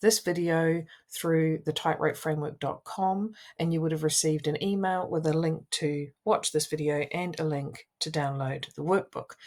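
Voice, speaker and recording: This woman has a New Zealand accent and a fairly low pitch. She talks at a moderate pace with ordinary pitch variation, on a very clean recording with a silent background. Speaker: wellbeing coach and social worker. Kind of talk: coaching tutorial.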